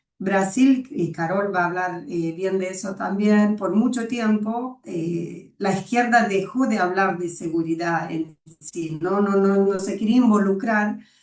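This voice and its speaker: A woman at a medium pitch, fairly slow in pace with hardly any pauses, with ordinary pitch variation. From Brazil. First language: Portuguese (speaking Spanish). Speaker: webinar moderator. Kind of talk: webinar discussion.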